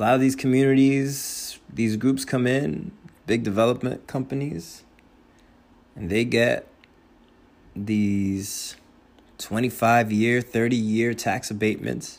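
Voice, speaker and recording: This man has a medium-pitched voice with ordinary pitch variation. He speaks at a very slow pace, leaving long, frequent pauses. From New Jersey, Hudson County (Union City). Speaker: podcast host. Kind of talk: casual monologue. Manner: casual, rambling.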